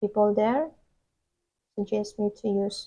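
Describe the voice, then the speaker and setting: The voice has a dark, mellow tone and a non-native accent, moving at a very slow pace. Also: woman. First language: Indonesian. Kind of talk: casual vlog talk to camera.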